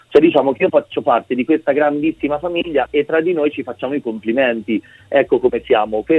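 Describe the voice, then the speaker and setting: Fairly high-pitched man's voice, a plain, everyday voice with ordinary pitch variation and a fairly quick pace. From Umbria, Italy. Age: 30s. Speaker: photographer. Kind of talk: radio interview. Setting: phone call.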